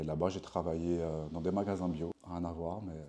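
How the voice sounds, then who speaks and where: A man speaks at a fairly quick pace in a very deep, low pitch. His tone is dark and mellow, and his intonation is monotone and flat. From France, Paris region (Meudon). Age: 30s. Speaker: sports coach and yoga teacher. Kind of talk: interview.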